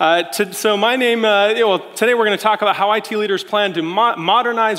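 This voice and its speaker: With an American accent, a man speaks at a fairly quick pace and a high pitch, with noticeable background noise behind him. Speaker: tech executive. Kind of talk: keynote speech. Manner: fast.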